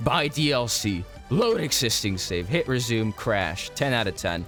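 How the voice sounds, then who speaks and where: With music in the background, a man talks at a moderate pace in a medium pitch. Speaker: video game YouTuber. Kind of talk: casual gaming commentary.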